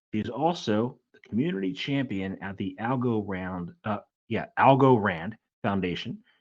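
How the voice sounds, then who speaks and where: A man talks at a fairly slow pace in a fairly low pitch. He has an ordinary speaking voice with ordinary pitch variation. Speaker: podcast host. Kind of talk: podcast intro.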